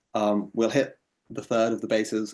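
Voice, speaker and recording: A medium-pitched man with an English accent, fairly quick in pace, over a quiet background. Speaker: ecotoxicologist, researcher. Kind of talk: lecture. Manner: hesitant, many fillers.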